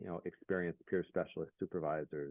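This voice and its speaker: Quiet and fairly even in intonation, this man's voice sits very deep and low. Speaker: peer specialist program coordinator. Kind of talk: workshop presentation. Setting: video call.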